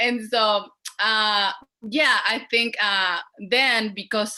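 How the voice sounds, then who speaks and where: Speaking with a strong Mexican accent, a woman uses a bright, sharp tone at a medium pitch with fairly even intonation. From Mexico, León, Guanajuato. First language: Spanish. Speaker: poultry worker organizer. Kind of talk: panel discussion.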